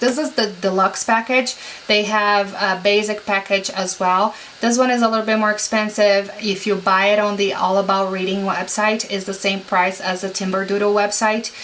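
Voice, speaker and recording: A woman with a medium-pitched voice talks at a moderate pace as noticeable background noise continues. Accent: non-native. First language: not English. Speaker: homeschooling parent vlogger. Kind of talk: product haul review. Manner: casual, many fillers.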